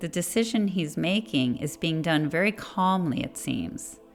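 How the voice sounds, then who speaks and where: With music playing behind her, a woman talks at a fairly slow pace in a fairly low pitch, her intonation lively. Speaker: spiritual podcast host. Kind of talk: spiritual meditation podcast narration. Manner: slow, methodical.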